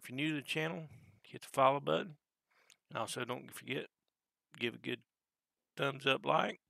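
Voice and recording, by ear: This man does a raspy put-on character voice at a medium pitch, speaking at a moderate pace with ordinary pitch variation and long, frequent pauses.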